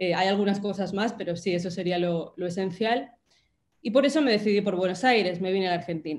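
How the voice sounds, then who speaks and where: A woman's medium-pitched voice with ordinary pitch variation, at a moderate pace. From Spain. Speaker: writer. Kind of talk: talk in a virtual panel. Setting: video call.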